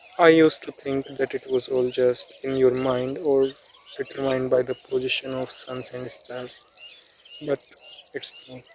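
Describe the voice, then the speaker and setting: A man with an Indian accent at medium pitch, fairly slow and monotone with flat intonation, long, frequent pauses and big swings in loudness, over noticeable background noise. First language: Hindi. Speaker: self-improvement YouTuber. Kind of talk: informal explainer vlog. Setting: outdoors on a road. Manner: stuttering.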